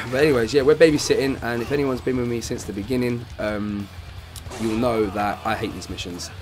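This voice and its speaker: A man at medium pitch with ordinary pitch variation and a fairly quick pace, with music in the background and audible room echo. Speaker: gaming YouTuber. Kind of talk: gameplay commentary. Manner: fast.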